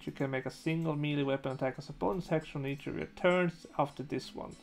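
A man speaks fast with a fairly high pitch and some vocal fry. His intonation stays fairly even over faint background music.

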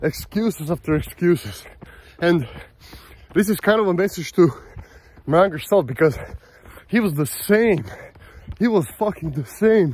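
A man speaks at a moderate pace with a high pitch and lively intonation. The sound is dry, with no echo. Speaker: vlogger. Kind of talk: casual vlog chat. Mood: motivational, self-reflective. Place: open country. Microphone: phone near.

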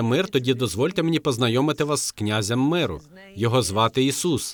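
In a plain, everyday voice, a man talks at a fairly quick pace with medium pitch and lively intonation. The recording is very clean, with a silent background. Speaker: co-host preacher. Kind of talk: sermon.

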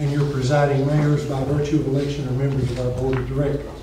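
A man's fairly high voice at a very fast pace, monotone and flat, with light background noise and audible room echo. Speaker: city recorder. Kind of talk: formal reading aloud. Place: meeting room. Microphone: camera far.

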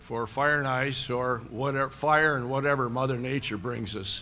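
A man with an American accent at a fairly slow pace, bright and sharp in tone, over light background noise. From US Midwest. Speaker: county government director. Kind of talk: press conference remarks. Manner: halting. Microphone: podium.

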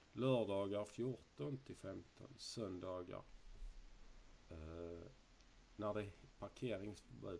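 Over light background noise, a man talks at a very slow pace with a fairly low pitch and ordinary pitch variation. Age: 30s. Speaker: YouTuber. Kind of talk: casual quiz video. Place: home room.

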